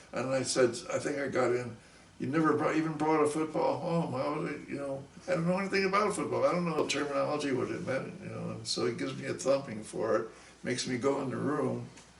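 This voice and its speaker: A man with an American accent speaks very fast. The room echo is audible and background noise is noticeable. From US Northeast, Long Island, New York. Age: 70s. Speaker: musician. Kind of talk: interview storytelling. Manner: halting.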